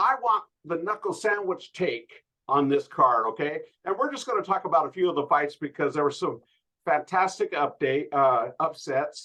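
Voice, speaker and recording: Loud and high-pitched, a man talks at a moderate pace with very wide pitch swings. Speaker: MMA podcast host. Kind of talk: casual chat.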